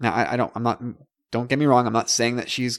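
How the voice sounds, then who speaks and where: A man with a Canadian accent talks at a medium pitch with vocal fry and fairly even intonation. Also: dry, close sound with no echo. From Canada. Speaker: podcast host. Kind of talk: casual chat.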